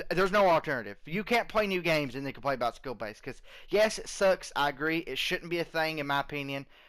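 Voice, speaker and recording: Here a man speaks at a very fast pace. His fairly high voice has lively intonation. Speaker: gaming YouTuber. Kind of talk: casual commentary over gameplay. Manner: rambling with fillers.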